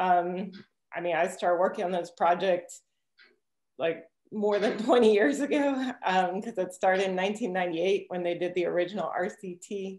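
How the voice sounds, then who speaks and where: A woman speaks at a moderate pace with ordinary pitch variation, and audible echo fills the room. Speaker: presenter. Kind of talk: lecture. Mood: relaxed, occasionally laughing. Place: home room. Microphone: webcam.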